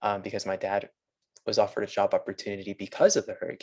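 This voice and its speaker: Speaking at a fairly quick pace, a man has an American accent. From Las Vegas, US West. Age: 20s. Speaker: engineering student. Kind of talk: interview. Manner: hesitant, many fillers.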